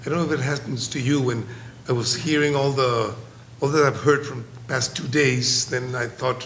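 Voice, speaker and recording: A man speaks in a Spanish accent with a monotone, flat intonation. Noticeable background noise and audible room echo fill the recording. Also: medium pitch for a man, moderate pace. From Colombia. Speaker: psychiatrist. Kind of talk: conference presentation. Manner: halting.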